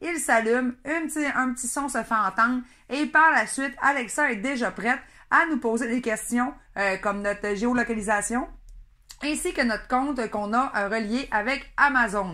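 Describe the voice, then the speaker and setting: Speaking in a Saguenay accent with a bright, sharp tone and ordinary pitch variation, the voice comes through a very clean recording with a silent background. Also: woman, high pitch for a woman, moderate pace. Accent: Saguenay Quebec French. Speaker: product reviewer. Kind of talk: product review. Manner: hesitant, many fillers.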